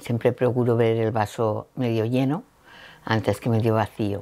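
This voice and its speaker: A woman speaks at a fairly slow pace. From Valencia region, Spain. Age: 60s. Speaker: cancer survivor. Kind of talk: interview testimony.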